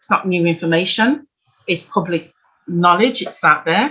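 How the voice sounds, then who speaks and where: At a moderate pace, a woman speaks in a British accent with a bright, sharp tone. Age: 60s. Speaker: financial coach. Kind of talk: workshop presentation.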